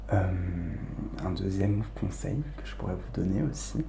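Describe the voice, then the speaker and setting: Soft-spoken and calm, a man talks at a moderate pace over noticeable background noise. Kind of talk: ASMR soft spoken advice talk. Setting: home recording, condenser microphone. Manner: soft-spoken, calm.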